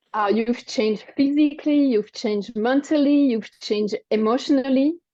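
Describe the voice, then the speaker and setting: At a moderate pace, a woman speaks in a high voice with ordinary pitch variation and very even loudness. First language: French. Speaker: wellness coach and cancer survivor. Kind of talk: interview. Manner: halting.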